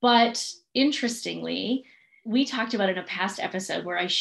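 A woman speaks with music in the background. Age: 30s. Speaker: podcast host, business coach. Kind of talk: casual chat.

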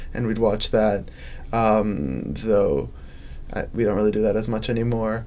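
A man with an American accent, fairly low in pitch, at a fairly slow pace with long, frequent pauses, ordinary pitch variation and audible room echo. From Chicago suburbs. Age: young. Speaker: college student. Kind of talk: personal storytelling interview.

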